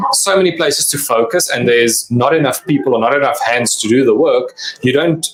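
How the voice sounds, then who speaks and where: Speaking fairly quickly with a South African accent, a man is heard against noticeable background noise. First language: Afrikaans. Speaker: cybersecurity company representative. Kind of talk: interview.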